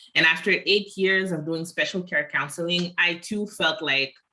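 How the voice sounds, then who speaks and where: A woman with a Quebec accent speaks at a moderate pace in a fairly low voice with a bright, sharp tone. Her pitch varies in an ordinary way on a very clean recording with a silent background. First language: French. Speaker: social work student. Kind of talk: casual conversation.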